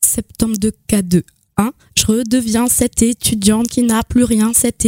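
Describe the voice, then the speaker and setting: Soft-spoken delivery at a fairly slow pace, with monotone, flat intonation. The sound is dry and close, with no echo. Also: woman. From Lorraine, eastern France (Nancy area). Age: 20s. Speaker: slam poet. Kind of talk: spoken-word poetry performance.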